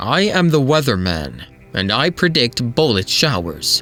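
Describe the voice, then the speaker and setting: A man's put-on character voice at a medium pitch, with very wide pitch swings at a moderate pace over faint background music. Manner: heroic.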